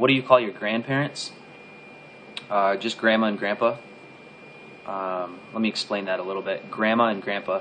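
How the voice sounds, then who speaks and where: An American-accented man speaks with a fairly low pitch and fairly even intonation. He leaves long, frequent pauses, and noticeable background noise is present. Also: moderate pace. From Southwest Michigan. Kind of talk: casual talk to camera.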